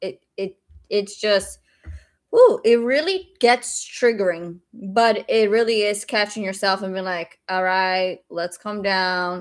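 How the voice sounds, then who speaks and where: At a very slow pace, a woman speaks with a slight Brazilian accent in a very clean recording with a silent background. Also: medium pitch for a woman, fairly even intonation. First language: Portuguese. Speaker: day trader streamer. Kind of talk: live stream chat. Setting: live stream.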